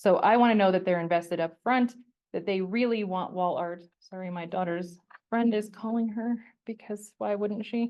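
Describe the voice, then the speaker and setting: A woman talks in a normal speaking voice with a General American accent. Her pitch is medium, her pace moderate, and her intonation fairly even. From Colorado. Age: 40s. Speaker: portrait photographer. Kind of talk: presentation with audience Q&A. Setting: stage with audience, also streamed online. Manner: casual, conversational.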